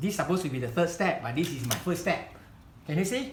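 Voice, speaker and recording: Audible room echo surrounds a man talking at a fairly quick pace. His high pitch carries lively intonation. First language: Chinese. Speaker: hobby craft instructor. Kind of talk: tutorial demonstration. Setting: live demonstration event. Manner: halting.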